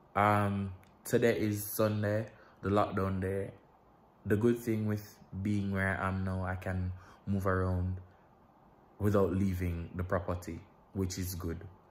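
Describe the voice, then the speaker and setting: A man speaks with a Jamaican accent at a very deep, low pitch, his intonation monotone and flat. His pace is fairly slow, with long, frequent pauses. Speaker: vlogger. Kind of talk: casual vlog. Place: home room. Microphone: phone near.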